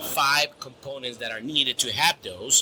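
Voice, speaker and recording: Fairly slow speech with a Spanish accent and noticeable background noise. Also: man. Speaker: grain storage specialist. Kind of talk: interview. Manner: halting, many repetitions.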